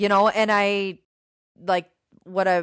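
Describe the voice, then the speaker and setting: A woman with an Upper Midwest accent at a fairly slow pace. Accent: Upper Midwest American. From Minnesota (Goodview, near Winona). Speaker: gym owner and fitness trainer. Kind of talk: casual interview chat. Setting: live stream interview.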